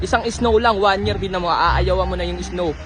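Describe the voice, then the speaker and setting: Very fast speech from a man, with noticeable background noise. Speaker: vlogger. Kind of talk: casual vlog. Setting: outdoors.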